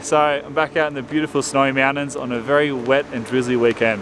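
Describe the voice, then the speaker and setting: With noticeable background noise but a dry sound and no echo, a man speaks with ordinary pitch variation. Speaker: outdoor vlogger. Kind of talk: casual vlog chat. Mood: upbeat, enthusiastic. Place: open country. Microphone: phone near.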